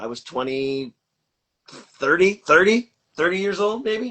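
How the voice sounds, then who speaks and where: The intonation is lively. The pace stays fairly slow. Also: man. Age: 50s. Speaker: film and TV prop master. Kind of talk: interview. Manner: halting.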